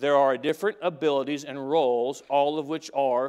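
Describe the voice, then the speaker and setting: Over a quiet background, a man with a Southern US accent talks at a moderate pace in a fairly high pitch, his intonation fairly even. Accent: US South. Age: 40s. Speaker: pastor. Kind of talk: sermon. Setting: church. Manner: halting.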